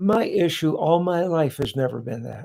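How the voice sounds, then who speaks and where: Somewhat breathy and dark, mellow in tone, a man speaks at a fairly slow pace with lively intonation. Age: 70s. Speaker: pastor. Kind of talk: panel discussion. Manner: preachy, impassioned.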